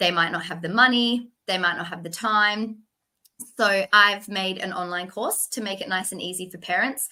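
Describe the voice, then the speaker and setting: In an Australian accent, the voice has a bright, sharp tone, fairly even intonation, a moderate pace and big swings in loudness. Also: woman, medium pitch for a woman. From Western Australia, Perth. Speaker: toilet training specialist. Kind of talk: interview.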